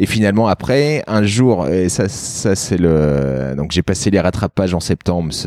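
Over noticeable background noise, a man with a very deep, low voice speaks fairly slowly with lively intonation and very even loudness. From France, Lyon. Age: 30s. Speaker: local politician. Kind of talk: interview. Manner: halting.

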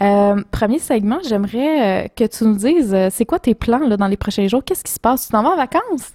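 A dark, mellow tone at a moderate pace, with lively intonation, big swings in loudness and hardly any pauses, in a dry, close sound with no echo. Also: woman, fairly high pitch for a woman. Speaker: podcast co-host. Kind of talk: casual chat. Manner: animated.

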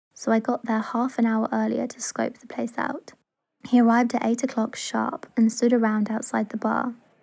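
It is an unforced reading voice, with a quiet background.

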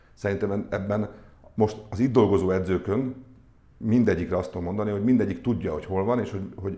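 At a fairly quick pace, a man speaks with a fairly low pitch, a dark, mellow tone and ordinary pitch variation. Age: 50s. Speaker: sports club executive. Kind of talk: interview. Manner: halting.

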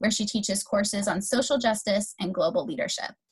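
A woman's very fast, somewhat breathy speech at fairly high pitch. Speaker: guest host of a higher education podcast. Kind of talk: casual. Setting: remote call during pandemic.

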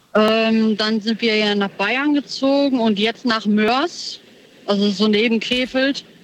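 Over noticeable background noise, a woman talks very slowly at a fairly high pitch. Her intonation is fairly even and her loudness very even. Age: 30s. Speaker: caller. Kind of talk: radio call-in chat.

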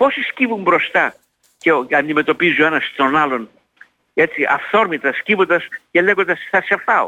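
This man talks at a moderate pace in a high voice, his intonation lively and his loudness very even. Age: 80s+. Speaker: sociologist and psychologist. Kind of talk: radio interview. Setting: radio studio or phone. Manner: animated.

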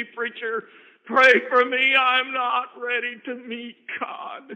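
A man puts on a raspy character voice, raised and projected at an extremely high pitch, speaking at a very slow pace with fairly even intonation and big swings in loudness.

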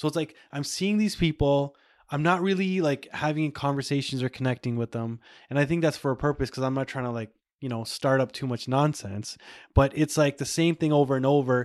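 At a fairly quick pace, an unremarkable speaking voice comes through with ordinary pitch variation, a dry, close sound with no echo, and a very clean recording over a silent background. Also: man, fairly high pitch for a man. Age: 30s. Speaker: podcast host. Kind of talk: casual chat.

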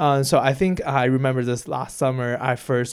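A man with a Chinese accent, medium pitch and a fairly quick pace. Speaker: university student. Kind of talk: interview. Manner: halting.

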